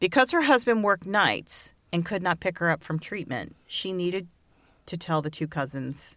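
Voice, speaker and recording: On a very clean recording with a silent background, a woman talks at a very fast pace with ordinary pitch variation. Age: 50s. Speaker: podcast co-host. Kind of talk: storytelling from notes; casual chat. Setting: studio with mic and pop filter.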